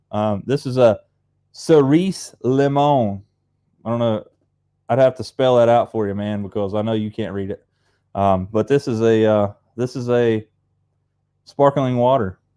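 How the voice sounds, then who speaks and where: In an Appalachian accent, a man of medium pitch and dark, mellow tone speaks at a fairly slow pace with long, frequent pauses. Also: ordinary pitch variation. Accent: Appalachian hillbilly. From Appalachia, US. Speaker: fishing channel host. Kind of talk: casual live stream chat. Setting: live stream on Facebook and YouTube. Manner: casual, rambling with fillers.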